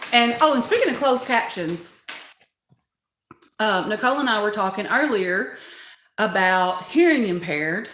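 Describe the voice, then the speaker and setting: A woman with a Southern US accent speaks at a moderate pace with lively intonation and long, frequent pauses, in a room with audible echo. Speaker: doll collecting YouTuber. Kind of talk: livestream community chat.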